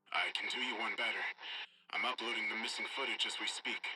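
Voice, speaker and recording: Putting on a raspy character voice, a man talks at a very fast pace. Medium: read story. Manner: urgent, clipped.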